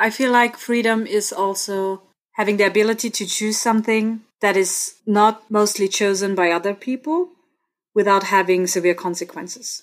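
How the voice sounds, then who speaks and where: Speaking in an Austrian accent, a woman keeps a medium pitch, a moderate pace and fairly even intonation. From Austria, Innsbruck (Tyrol), parents from India. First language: German. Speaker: student and podcast guest. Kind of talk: casual interview chat.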